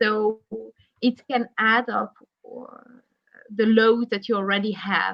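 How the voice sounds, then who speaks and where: Long, frequent pauses at a very slow pace, with big swings in loudness and monotone, flat intonation. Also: woman, fairly high pitch for a woman. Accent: Flemish Belgian. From Belgium (Flanders). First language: Flemish (Dutch). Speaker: psychologist. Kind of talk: interview. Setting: online live video stream.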